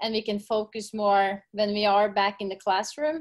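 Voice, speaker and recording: A woman speaks in a Norwegian accent at a fairly slow pace. Her pitch sits in the medium range. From Norway. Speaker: gym owner and fitness coach. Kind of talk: casual interview. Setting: video call.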